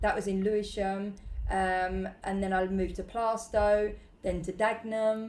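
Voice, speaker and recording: A woman speaks slowly at a fairly slow pace and medium pitch, in a monotone, flat intonation. Audible room echo is present. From East London (Bow, East End). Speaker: restaurant owner and entrepreneur. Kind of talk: casual interview chat. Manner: hesitant, many fillers.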